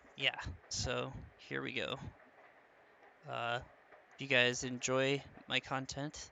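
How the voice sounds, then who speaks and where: Leaving long, frequent pauses, a man speaks at a very slow pace. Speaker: gaming YouTuber. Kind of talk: let's play commentary. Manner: hesitant, many fillers.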